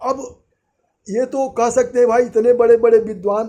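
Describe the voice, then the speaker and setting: High in pitch yet dark and mellow in tone, a man's voice moves with ordinary pitch variation. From India, Gorakhpur (eastern Uttar Pradesh). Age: 80s+. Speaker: retired trade unionist. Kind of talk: opinion monologue. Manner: halting, with false starts.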